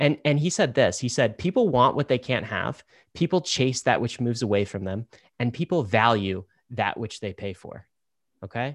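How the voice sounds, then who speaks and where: In a plain, everyday voice, a man speaks at medium pitch with ordinary pitch variation and a dry, close sound with no echo. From Southern Ontario, Canada. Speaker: podcast co-host. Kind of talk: casual chat.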